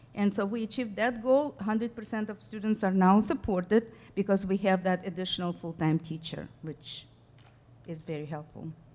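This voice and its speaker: Woman with a non-native accent at a medium pitch. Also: ordinary pitch variation, moderate pace. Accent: noticeable foreign. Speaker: school district staff presenter. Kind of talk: board meeting presentation. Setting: school board meeting.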